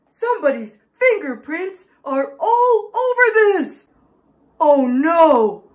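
This cartoonish character voice sits at an extremely high pitch and swings very widely in pitch. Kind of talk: comic overacting for children. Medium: puppet show. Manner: dramatic, indignant, panicky.

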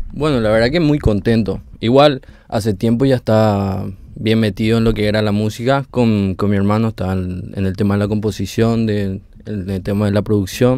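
In a dry sound with no echo and a quiet background, a man with a dark, mellow tone and fairly low pitch speaks at a moderate pace with fairly even intonation. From Paraguay. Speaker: band member, musician. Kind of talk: interview. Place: studio. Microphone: handheld.

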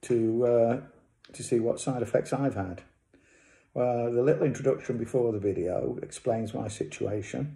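This man's medium-pitched voice is somewhat breathy, with a dark, mellow tone and a moderate pace. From England. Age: 60s. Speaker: cancer patient. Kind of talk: casual talk to camera. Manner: hesitant. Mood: calm, matter-of-fact. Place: home room. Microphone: phone near.

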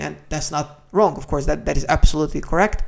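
A man speaks with a slightly mellow tone and some vocal fry.

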